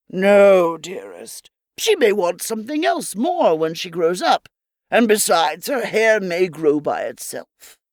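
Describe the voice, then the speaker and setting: A woman uses a put-on character voice at a medium pitch, speaking at a fairly slow pace. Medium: read story.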